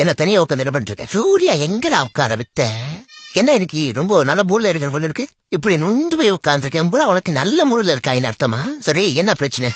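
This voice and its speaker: At a moderate pace and middle pitch, the speaker uses a put-on character voice. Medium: voice reel. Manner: aggressive, boastful.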